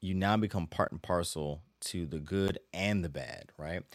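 On a very clean recording with a silent background, a man speaks in a very deep, low pitch. His pace is fairly slow and his intonation fairly even. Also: dry, close sound with no echo. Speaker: podcast host and Bible teacher. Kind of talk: solo podcast teaching. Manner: halting, with frequent filler words.

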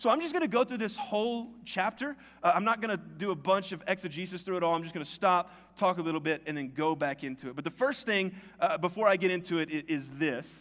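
Speaking very fast with lively intonation, a man with an American accent talks at a high pitch. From US South, Tennessee. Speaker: pastor. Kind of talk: sermon. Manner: casual conversational.

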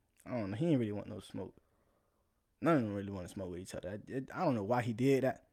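Talking at a very fast pace with an American accent, a man uses a fairly low, dark and mellow voice, lively intonation and big swings in loudness. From South Florida. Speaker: podcast host. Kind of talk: casual monologue. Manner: laid-back, laughing.

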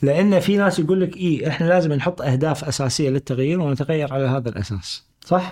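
With a plain, everyday voice, a man speaks at a moderate pace, fairly high in pitch with ordinary pitch variation. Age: 50s. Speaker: management consultant. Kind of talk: casual interview chat.

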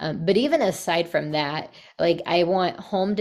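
A woman talks with a fairly low pitch. Her voice shows vocal fry. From Texas. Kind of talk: interview.

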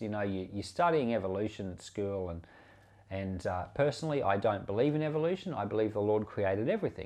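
Here is an unremarkable speaking voice at a fairly quick pace. The intonation is lively. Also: man. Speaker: Bible teacher. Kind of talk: bible reading aloud, steady and solemn, then casual teaching and prayer. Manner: measured, even-paced, formal reading cadence.

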